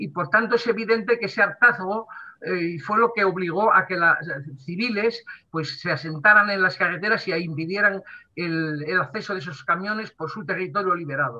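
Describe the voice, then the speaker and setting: A man's high-pitched voice at a moderate pace, with ordinary pitch variation. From Western Sahara. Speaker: diplomat. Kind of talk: talk to an online audience.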